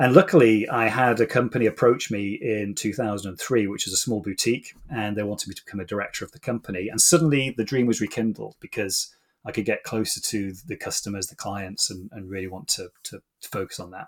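A man with a British accent speaks very fast in a fairly low voice, his loudness swinging widely and hardly any pauses breaking his speech. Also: ordinary pitch variation. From UK. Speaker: executive coach. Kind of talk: interview conversation.

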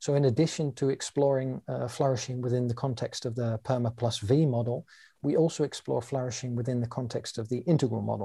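Fairly quick and somewhat breathy, a man talks at medium pitch in a dark, mellow tone on a very clean recording with a silent background. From London, England. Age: 40s. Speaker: coach and teacher. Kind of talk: interview explanation.

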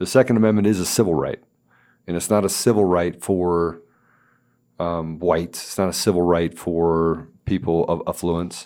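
A man with an American accent speaks at a moderate pace in a very deep, low pitch. His tone is dark and mellow, and his intonation stays fairly even. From Washington, D.C. area. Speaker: podcast guest host, company CEO. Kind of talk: casual interview chat. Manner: halting, many fillers and restarts.

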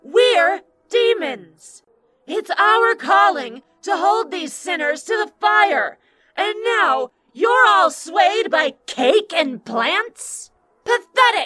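A female-sounding put-on character voice talks at a very slow pace, at an extremely high pitch with very wide pitch swings. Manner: contemptuous, impassioned, righteous.

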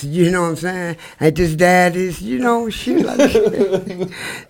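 A man with a high pitch speaks at a fairly slow pace with lively intonation. Noticeable background noise sits under his voice. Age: 60s. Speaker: unhoused recurring guest. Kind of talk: casual chat.

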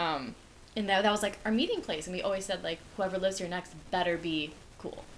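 A woman's voice with ordinary pitch variation against noticeable background noise. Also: medium pitch for a woman, fairly quick pace. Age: 20s. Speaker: college podcast co-host. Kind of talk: casual chat. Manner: animated.

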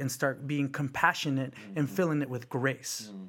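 A man speaks at a fairly quick pace with a normal speaking voice and fairly high pitch, on a very clean recording with a silent background. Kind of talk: casual conversational interview.

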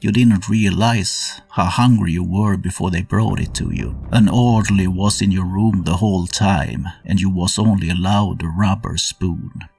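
Over noticeable background noise, a man with a fairly low pitch speaks at a moderate pace with ordinary pitch variation and hardly any pauses. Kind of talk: dramatic second-person narration, game-master style storytelling of a horror scene. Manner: tense, atmospheric, measured pacing that builds dread.

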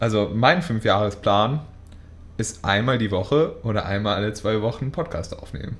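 Somewhat breathy, a man speaks with a fairly low pitch and lively intonation. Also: moderate pace. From Münster, Westphalia, Germany. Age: 20s. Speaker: podcast co-host. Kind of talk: casual chat.

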